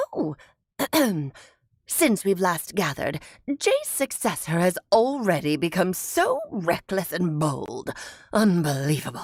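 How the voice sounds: A woman speaks in a put-on character voice at a medium pitch. She leaves long, frequent pauses. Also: fairly slow pace.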